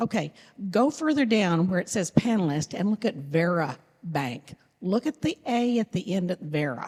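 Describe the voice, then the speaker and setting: Loud and at a medium pitch, a woman talks at a moderate pace with very wide pitch swings, recorded with a dry, close sound with no echo. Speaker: audience member. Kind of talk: audience comment.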